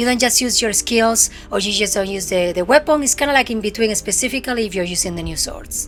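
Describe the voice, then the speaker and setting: A woman's very fast speech with a strong Spanish accent, fairly high pitch and ordinary pitch variation, over music in the background. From Spain. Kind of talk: casual game review talk to camera.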